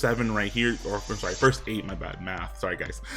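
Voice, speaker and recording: Behind this man's voice there is noticeable background noise. He keeps a moderate pace. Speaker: gaming youtuber. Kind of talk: casual gaming commentary. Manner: animated.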